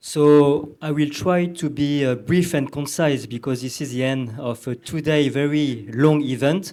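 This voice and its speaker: Speaking with a French accent, a man uses a fairly high pitch and a dark, mellow tone, moving at a fairly slow pace with hardly any pauses and fairly even intonation. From southern France. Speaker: panelist. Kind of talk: panel discussion. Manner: halting, many fillers.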